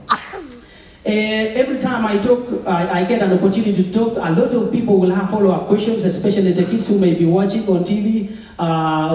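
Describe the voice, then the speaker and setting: Audible room echo and noticeable background noise surround a man speaking at a fairly quick pace with ordinary pitch variation. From Kenya. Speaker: former athlete and mentor. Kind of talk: public speech. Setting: event with audience and mic. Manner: fast.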